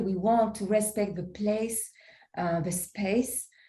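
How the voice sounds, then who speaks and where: A woman's somewhat breathy, dark, mellow voice at a medium pitch, monotone and flat in intonation, at a very slow pace, with audible room echo. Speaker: poet and co-author. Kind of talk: interview conversation. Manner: halting.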